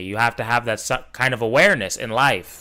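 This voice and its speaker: On a very clean recording with a silent background, a man with an LA accent speaks in a bright, sharp tone with ordinary pitch variation. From Los Angeles. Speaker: streamer reacting to video. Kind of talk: casual reaction commentary.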